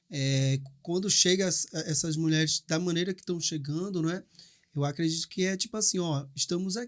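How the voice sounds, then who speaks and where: A man with a Recife accent speaks at a high pitch and a moderate pace with ordinary pitch variation, on a very clean recording with a silent background. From Brazil, Recife. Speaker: podcast host. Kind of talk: casual chat. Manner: halting.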